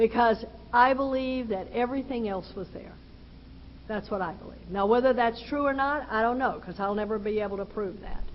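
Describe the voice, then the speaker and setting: A woman with a Texan accent speaks at a moderate pace. Her pitch is fairly high, with ordinary pitch variation. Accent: Texan Southern US. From Texas. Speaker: recovery speaker. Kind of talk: personal testimony talk.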